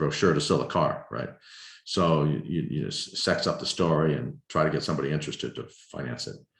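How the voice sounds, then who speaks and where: The man's pitch is very deep and low, with vocal fry and audible room echo. He talks at a fairly quick pace, broken by long, frequent pauses. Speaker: filmmaker. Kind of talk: lecture Q&A over video call. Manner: halting, many repetitions.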